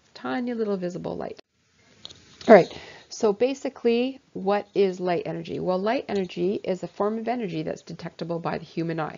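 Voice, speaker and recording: Her lively intonation, big swings in loudness and fairly quick pace come through as a woman talks at a medium pitch. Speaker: science teacher. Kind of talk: lecture. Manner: fast.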